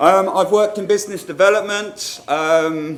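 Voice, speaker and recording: A man speaking in a southern English accent. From northern England, Newcastle upon Tyne. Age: middle-aged. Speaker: marketing manager, conference speaker. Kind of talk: conference talk. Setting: stage with audience. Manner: informal, humorous.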